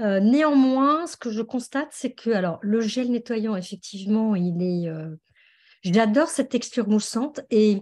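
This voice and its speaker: Against a quiet background, a woman speaks fairly slowly at a fairly high pitch with lively intonation. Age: 60s. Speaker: customer giving testimony. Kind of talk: testimony. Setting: video call. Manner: hesitant, many fillers.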